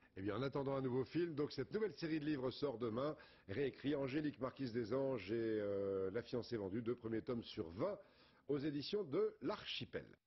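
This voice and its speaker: This man has a medium pitch and a somewhat breathy voice, with lively intonation. He speaks at a moderate pace with very even loudness. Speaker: TV news presenter. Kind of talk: TV news presentation.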